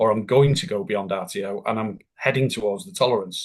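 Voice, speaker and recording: Using a plain, everyday voice, a man speaks with lively intonation at a moderate pace over a quiet background. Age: 60s. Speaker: business continuity consultant and tutor. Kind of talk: interview.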